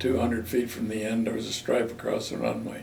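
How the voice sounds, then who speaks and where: A man's medium-pitched voice with an American accent and lively intonation, set against noticeable background noise and audible room echo. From Maryland, US. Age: 80s+. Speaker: war veteran. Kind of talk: oral history interview.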